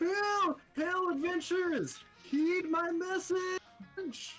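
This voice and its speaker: A put-on character voice at extremely high pitch, very slow, with faint music in the background. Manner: calling out, weird.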